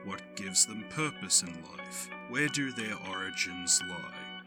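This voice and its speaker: Over music in the background, a man with a fairly low voice speaks at a very slow pace, his pitch swinging very widely and hardly any pauses breaking it up. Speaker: voice actor and storyteller. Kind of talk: mythology and urban legend storytelling narration.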